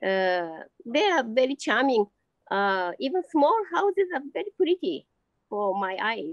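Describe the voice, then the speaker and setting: In a Japanese accent, a woman speaks at a high pitch with very wide pitch swings, at a fairly slow pace, in a dry sound with no echo. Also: quiet background. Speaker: amateur painter and teacher; teacher. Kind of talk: interview. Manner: halting. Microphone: video call.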